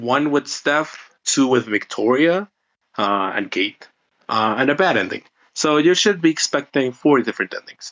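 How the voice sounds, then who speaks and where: At a moderate pace, a man talks with lively intonation and a fairly high pitch. He has a Spanish accent. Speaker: indie game developer. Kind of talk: interview.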